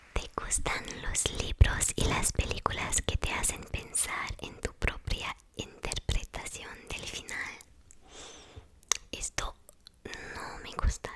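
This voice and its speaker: Whispering at a very slow pace, with long, frequent pauses and noticeable background noise. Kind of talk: ASMR whispering, personality test commentary. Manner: whispered.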